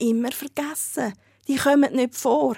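This woman's high-pitched voice has ordinary pitch variation and a dry, close sound with no echo. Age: 30s. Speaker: fat activist and blogger. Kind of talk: interview.

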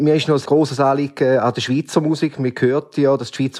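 A man at medium pitch, fairly quick, monotone and flat. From Switzerland, canton of St. Gallen. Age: 40s. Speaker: listener asking questions. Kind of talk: casual interview questions.

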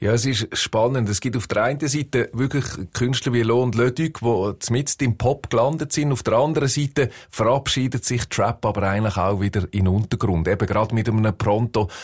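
A somewhat breathy man's voice with a Swiss accent, medium pitch, ordinary pitch variation, very even loudness and a fairly quick pace, on a very clean recording with a silent background. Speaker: music journalist. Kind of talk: casual chat.

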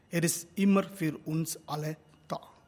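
The speaker has a Tamil accent and ordinary pitch variation. The pace is very slow. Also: man. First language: Tamil (speaking German). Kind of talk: religious address.

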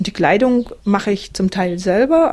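A plain, everyday voice moves at a moderate pace. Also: woman. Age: 50s. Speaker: interviewee living a simple life, former teacher. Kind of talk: interview.

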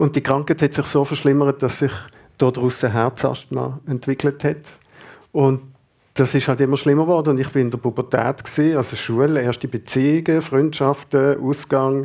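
With a monotone, flat intonation, a man speaks at a moderate pace in a very clean recording with a silent background. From Basel, Switzerland. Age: 50s. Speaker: Zen meditation teacher. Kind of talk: radio interview. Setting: radio studio.

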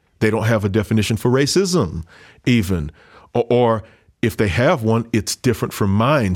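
A man talks at a moderate tempo, his pitch medium and varying in an ordinary way, on a very clean recording with a silent background. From US South, Louisiana (Creole family). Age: 30s. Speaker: pastor. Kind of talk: interview.

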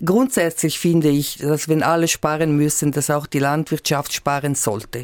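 A woman at a moderate pace. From Switzerland, Graubünden. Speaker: member of national parliament. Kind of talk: radio political discussion. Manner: halting.

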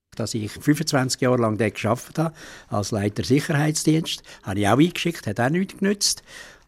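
The pitch swings very widely. Delivery comes at a moderate pace. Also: man, medium pitch for a man. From Ticino, Switzerland. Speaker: retired policeman, taxi driver. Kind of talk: interview.

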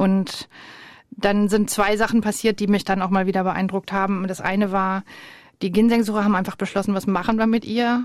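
Her medium-pitched voice stays monotone, with flat intonation throughout. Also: moderate pace. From Germany. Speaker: ethnologist and museum director. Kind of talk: radio interview. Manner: hesitant with fillers.

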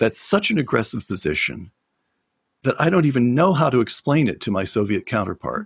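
A man with vocal fry and very wide pitch swings at a moderate pace, in a dry, close sound with no echo. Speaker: former speechwriter. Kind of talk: interview.

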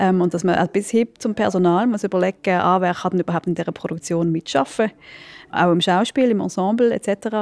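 Dry and close with no echo on a very clean recording with a silent background, a woman with an ordinary speaking voice talks at a fairly quick pace, medium pitch, ordinary pitch variation and very even loudness. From Switzerland. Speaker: theatre director. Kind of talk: interview.

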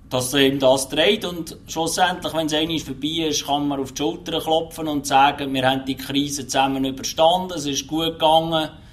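Over noticeable background noise, the speaker keeps a moderate pace with hardly any pauses and fairly even intonation. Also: man, fairly high pitch for a man. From Switzerland, canton of Lucerne. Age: 40s. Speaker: truck driver. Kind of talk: interview.

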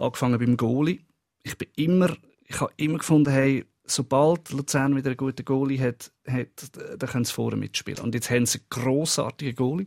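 A man with a plain, everyday voice talks at a medium pitch and a fairly quick pace, his intonation fairly even and the sound dry and close with no echo. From Lucerne, Switzerland. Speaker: musician, football fan. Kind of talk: casual chat.

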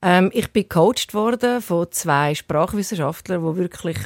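On a very clean recording with a silent background and a dry, close sound without echo, a woman uses a normal speaking voice, fairly low in pitch, at a moderate pace with ordinary pitch variation. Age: 50s. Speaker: TV presenter. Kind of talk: interview.

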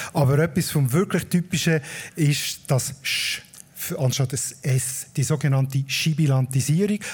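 This man has an unremarkable speaking voice with a fairly high pitch. He talks at a fairly slow pace with ordinary pitch variation. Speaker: podcast host, dialect expert. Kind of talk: explanatory chat, live. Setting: live stage with audience at a festival.

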